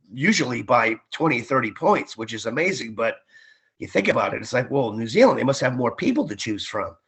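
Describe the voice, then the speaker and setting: Speaking at a fairly quick pace, a man with an unremarkable speaking voice uses lively intonation. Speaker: ring announcer; former Marine and radio DJ. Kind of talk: interview answer. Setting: remote call, video/phone interview from Florida.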